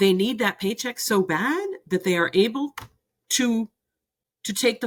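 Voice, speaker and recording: A woman with lively intonation. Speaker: youth coach and former teacher. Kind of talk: interview conversation. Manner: loud, impassioned.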